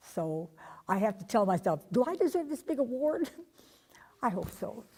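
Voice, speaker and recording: Somewhat breathy and dark, mellow in tone, a woman with a fairly high pitch speaks at a moderate pace with very wide pitch swings. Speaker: retired aircraft riveter. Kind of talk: interview.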